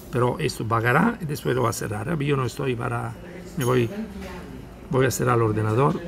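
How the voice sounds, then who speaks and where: A man talks at a fairly quick pace with a medium pitch and ordinary pitch variation. Long, frequent pauses break up his speech over noticeable background noise. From Italy. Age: 60s. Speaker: day trader. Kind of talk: live trading commentary. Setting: outdoors at a seaside café. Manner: relaxed. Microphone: phone near.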